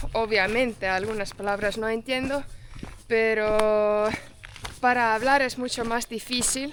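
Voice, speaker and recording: A woman with a fairly high pitch speaks at a fairly slow pace with fairly even intonation, over noticeable background noise. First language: not Spanish; English-speaking (speaking Spanish). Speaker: travel vlogger. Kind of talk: casual chat. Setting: outdoors. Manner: halting.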